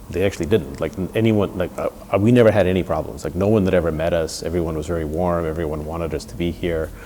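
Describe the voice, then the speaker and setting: Very fast and with hardly any pauses, a man with a New York accent speaks at a very deep, low pitch with ordinary variation over noticeable background noise. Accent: New York American. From New York (Bronx), raised from age eight after leaving the Soviet Union. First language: Russian. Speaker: tech entrepreneur. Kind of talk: interview. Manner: halting, many restarts and repeated words.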